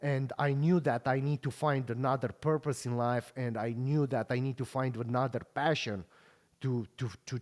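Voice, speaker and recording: A man with a Romanian accent talks at a moderate pace and fairly even intonation on a very clean recording with a silent background. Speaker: podcast host and pro bodybuilder. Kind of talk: casual interview chat.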